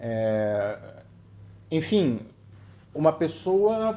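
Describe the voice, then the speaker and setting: The man's voice has a dark, mellow tone. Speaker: viewer sharing a personal story. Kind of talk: personal testimony. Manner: halting, many repetitions.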